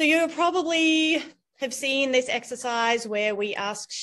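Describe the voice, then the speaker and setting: A woman speaks at a fairly slow pace against a quiet background, her pitch swinging very widely. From Australia. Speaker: university dean and biologist. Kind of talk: talk. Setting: video call. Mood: warm, smiling. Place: office. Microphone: video call.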